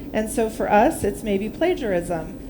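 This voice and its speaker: Noticeable background noise sits behind a woman speaking at a moderate pace and medium pitch. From United States. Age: 50s. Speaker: workshop speaker on ethics. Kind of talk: workshop talk with discussion. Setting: workshop in hotel with live audience.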